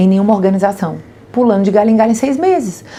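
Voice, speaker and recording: Lively intonation from a woman, with noticeable background noise throughout. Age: 40s. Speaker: business executive. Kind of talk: podcast interview.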